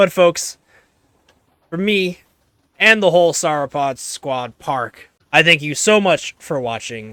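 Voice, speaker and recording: A high-pitched male voice with a bright, sharp tone and very wide pitch swings. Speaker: Minecraft gaming YouTuber. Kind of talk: gameplay commentary outro. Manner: casual, relaxed.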